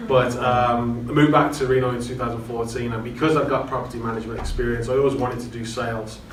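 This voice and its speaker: With an English accent, a man speaks at a fairly quick pace in a medium pitch and flat, monotone intonation, amid noticeable background noise and audible room echo. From England. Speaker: real estate agent. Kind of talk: panel discussion.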